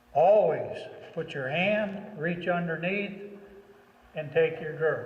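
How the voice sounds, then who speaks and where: A man talks at a high pitch and a fairly slow pace, with fairly even intonation. Noticeable background noise and audible room echo fill the recording. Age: 60s. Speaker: horse trainer. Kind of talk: tutorial. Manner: conversational.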